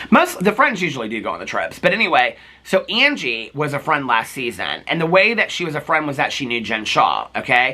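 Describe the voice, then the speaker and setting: A man with an American accent talks at a fairly quick pace with hardly any pauses, his fairly high voice taking very wide pitch swings in an animated tone over noticeable background noise. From Indiana, US Midwest. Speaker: reality TV commentator. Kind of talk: casual recap monologue.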